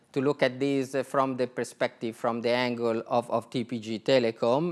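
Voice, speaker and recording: A man speaks with an Italian accent at a medium pitch, his intonation fairly even. The recording is very clean, with a silent background. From Italy. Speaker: telecom executive. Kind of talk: conference talk. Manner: hesitant, many fillers.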